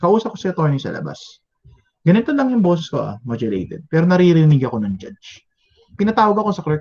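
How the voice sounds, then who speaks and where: A man's high-pitched voice at a very fast pace, with very wide pitch swings and big swings in loudness. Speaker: teacher. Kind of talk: lecture. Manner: conversational.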